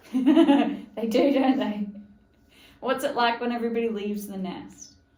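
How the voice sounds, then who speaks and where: A woman speaks in a high pitch at a fairly slow pace. Her loudness swings widely while her pitch varies in an ordinary way. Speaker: podcast host. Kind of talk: podcast interview questions.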